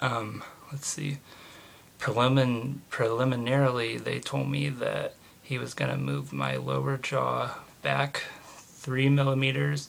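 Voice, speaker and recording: A man with an American accent talks at a fairly slow pace. Background noise is noticeable. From US Midwest (Indiana). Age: 20s. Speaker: vlogger. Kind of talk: personal video diary. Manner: casual with many fillers.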